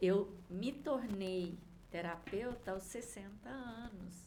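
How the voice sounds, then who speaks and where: A woman's somewhat breathy voice at a very slow pace, with lively intonation and audible room echo. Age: 60s. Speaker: vibrational therapist. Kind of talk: interview chat.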